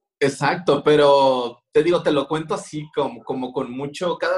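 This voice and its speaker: Here is a man with a plain, everyday voice. He talks at a moderate pace with a fairly high pitch. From Mexico, Culiacán, Sinaloa. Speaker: street artist and graphic designer. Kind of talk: interview. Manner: casual, slangy.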